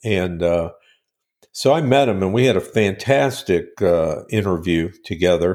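Speaking in a Midwestern US accent, a man has a very deep, low pitch with ordinary pitch variation and a fairly slow pace. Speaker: marketing company owner and radio host. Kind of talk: casual interview. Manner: hesitant, filler-heavy.

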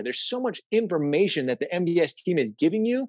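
Energetic male voice at a fairly quick pace, very wide pitch swings, and a dry, close sound with no echo. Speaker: social media coach. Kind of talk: live webinar talk. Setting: video call webinar. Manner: fast, energetic.

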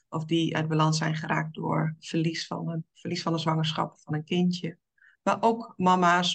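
In a monotone, flat delivery, a woman speaks with a very deep, low pitch. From eastern Netherlands. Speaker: women's coach. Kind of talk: interview.

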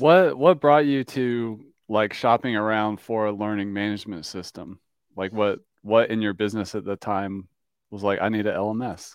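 At a moderate pace, a man speaks in a normal speaking voice, fairly low in pitch with ordinary pitch variation. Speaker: podcast host and software company co-founder. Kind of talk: interview podcast.

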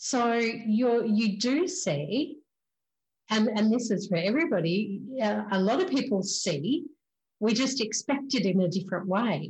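A woman with an Australian accent speaks at a fairly slow pace, her pitch fairly high and swinging very widely. Her voice is somewhat breathy and her loudness stays very even. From Queensland, Australia. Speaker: spiritual medium podcast host. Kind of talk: casual interview chat.

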